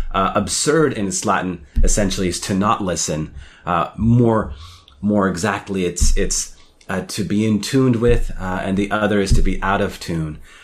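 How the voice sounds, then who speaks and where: A man's ordinary speaking voice, fairly low in pitch, with ordinary pitch variation at a moderate pace. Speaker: professor. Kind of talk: radio show conversation. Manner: thoughtful, measured.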